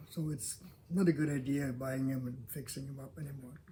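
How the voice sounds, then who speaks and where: A man talks in a somewhat breathy voice. His pitch is fairly high, and his intonation stays fairly even. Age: 80s+. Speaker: longtime local resident, builder. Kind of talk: interview. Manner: halting.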